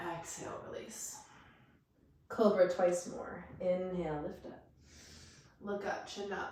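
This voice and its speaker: A woman speaks very slowly at a medium pitch, with fairly even intonation. She takes long, frequent pauses over noticeable background noise. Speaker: yoga teacher. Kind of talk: guided yoga class instruction. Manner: calm, gentle.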